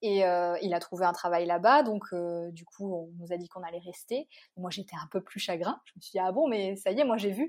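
Hardly pausing, a woman with an ordinary speaking voice talks at a fairly quick pace and medium pitch, with ordinary pitch variation and big swings in loudness. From Réunion, east (Bras-Panon, Saint-André). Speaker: journalist and travel blogger. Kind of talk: casual interview.

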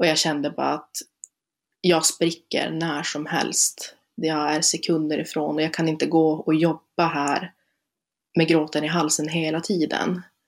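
A woman speaks at a fairly slow pace in a very deep, low, monotone voice with flat intonation. The recording is very clean with a silent background. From northern Sweden, Luleå area. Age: 20s. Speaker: student and speaker on being a relative of someone with bipolar disorder. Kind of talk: casual interview chat.

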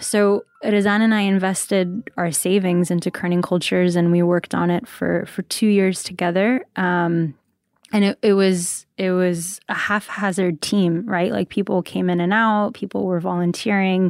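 On a very clean recording with a silent background and a dry, close sound with no echo, a woman of medium pitch talks at a moderate pace with hardly any pauses, very even loudness and fairly even intonation. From US, New Jersey, with childhood abroad. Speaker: podcast network founder and CEO. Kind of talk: interview. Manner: hesitant, many fillers.

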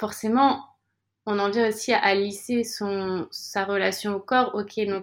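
A very clean recording over a silent background of a woman at a medium pitch, speaking at a very slow pace with fairly even intonation. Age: 30s. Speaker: yoga teacher and coach, former YouTuber. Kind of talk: interview. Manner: smiles a lot while talking; hesitant, repeats words.

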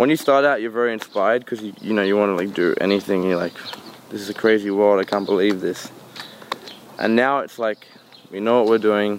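Speaking with an Australian accent, a man with a fairly low pitch leaves long, frequent pauses over noticeable background noise. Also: fairly even intonation, fairly quick pace. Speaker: musician. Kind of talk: casual interview.

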